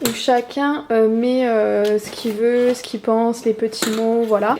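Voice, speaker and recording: A woman speaks at a fairly slow pace in a fairly high, flat monotone, with noticeable background noise. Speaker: YouTuber, vlogger. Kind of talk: casual vlog.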